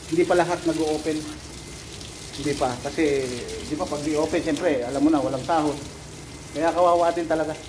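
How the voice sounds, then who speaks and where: Over noticeable background noise, a man with a fairly high pitch talks at a very fast pace with fairly even intonation and long, frequent pauses. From Philippines (Bicol); Philippines. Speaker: overseas worker vlogger, driver in Saudi Arabia; driver vlogger. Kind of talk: casual vlog. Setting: outdoors, garden. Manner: casual, laughs often. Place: garden. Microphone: phone near.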